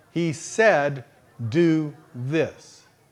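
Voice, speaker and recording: A man talks with a Texas accent in a fairly high pitch. His tone is animated. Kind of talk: sermon.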